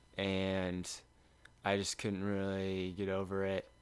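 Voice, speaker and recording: A man with a Midwestern American accent speaks at a very slow pace in a fairly low voice. His intonation is flat and monotone. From Lindsborg, Kansas. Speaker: college sprinter. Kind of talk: casual chat. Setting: home guest room.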